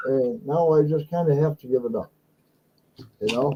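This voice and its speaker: A man's ordinary speaking voice at a moderate pace, with ordinary pitch variation. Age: 60s. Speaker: live stream host, former guitar entertainer. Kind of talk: casual chat. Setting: live stream.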